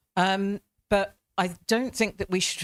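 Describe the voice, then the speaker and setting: In a British accent, a woman talks at a fairly slow pace on a very clean recording with a silent background and a dry, close sound with no echo. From Britain. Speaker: panel speaker, academic. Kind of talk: panel discussion. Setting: event with live audience. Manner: hesitant, many fillers.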